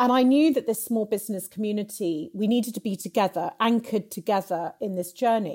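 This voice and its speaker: A woman with a fairly high pitch speaks at a fairly quick pace with hardly any pauses and ordinary pitch variation. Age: 40s. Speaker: entrepreneur. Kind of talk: interview.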